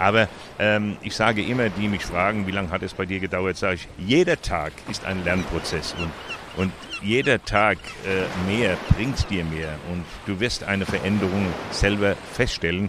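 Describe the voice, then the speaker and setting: A fairly low-pitched man at a moderate pace with fairly even intonation, over noticeable background noise. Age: 70s. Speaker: cochlear implant user and volunteer advocate. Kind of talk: interview. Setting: outdoors at a public hearing event. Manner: halting.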